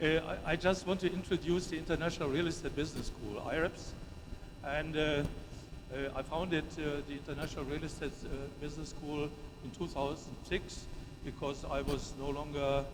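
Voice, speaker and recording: A man talks at a fairly quick pace in a monotone, flat delivery. Noticeable background noise and audible room echo fill the recording. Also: fairly high pitch for a man. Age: 70s. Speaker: professor. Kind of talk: conference presentation. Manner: halting, many fillers.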